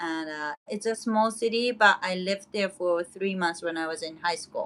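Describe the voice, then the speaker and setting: A bright, sharp tone carries ordinary pitch variation. Delivery comes at a moderate pace. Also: woman. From Japan, Hokkaido. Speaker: YouTuber. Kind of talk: casual livestream chat with viewers. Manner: chatty, filler-heavy.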